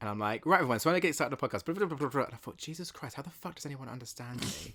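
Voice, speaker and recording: This man talks very fast with a British accent, his fairly high voice bright and sharp in tone, with lively intonation and big swings in loudness. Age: 20s. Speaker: podcast co-host. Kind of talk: casual chat.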